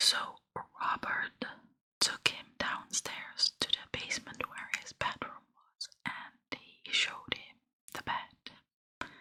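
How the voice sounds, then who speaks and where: Someone whispers at a very slow pace. The tone is calm and soothing. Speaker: ASMR content creator. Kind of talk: whispered true crime ASMR storytelling. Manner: whispered, calm, soothing.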